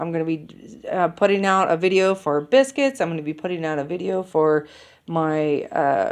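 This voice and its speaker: Against a quiet background, an unremarkable speaking voice moves at a moderate pace. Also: woman. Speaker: keto cooking vlogger. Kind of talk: casual grocery haul vlog. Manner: casual with many fillers.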